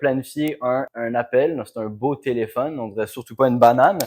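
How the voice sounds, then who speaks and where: A man with a Quebec accent, ordinary pitch variation, on a very clean recording with a silent background. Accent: Québécois French. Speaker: B2B sales consultant. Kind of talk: business explainer to camera. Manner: casual, conversational.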